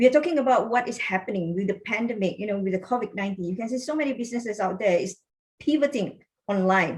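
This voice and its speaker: The speaker talks at a very fast pace in a somewhat breathy voice. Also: woman, fairly high pitch for a woman, ordinary pitch variation. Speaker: business coach. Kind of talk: online workshop. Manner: animated.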